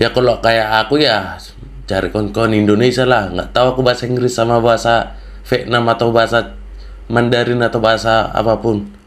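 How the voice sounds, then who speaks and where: A man at a medium pitch and a fairly quick pace, monotone and flat in intonation, with very even loudness over noticeable background noise. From North Sumatra (Batak). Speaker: podcast host. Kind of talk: casual chat. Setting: voice chat app.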